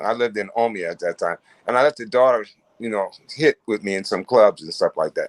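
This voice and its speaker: In an American accent, a man speaks at a fairly quick pace, the sound dry and close with no echo. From Ohio, US Midwest. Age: 60s. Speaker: musician. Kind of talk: casual interview chat. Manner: halting, repeats words.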